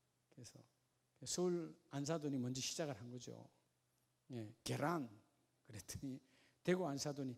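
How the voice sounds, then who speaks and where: A man's fairly high voice at a fairly slow pace, with ordinary pitch variation and big swings in loudness. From Gyeongsang region, South Korea. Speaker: pastor. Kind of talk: sermon. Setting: church. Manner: animated.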